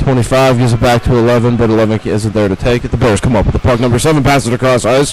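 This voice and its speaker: Speaking very fast at a medium pitch, a man keeps a monotone, flat intonation and very even loudness over noticeable background noise. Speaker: play-by-play hockey commentator. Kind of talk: live sports commentary.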